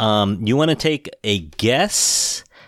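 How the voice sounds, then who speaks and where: Fairly low male speech, with a very clean recording and a silent background. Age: 50s. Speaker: podcast host. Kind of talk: casual chat.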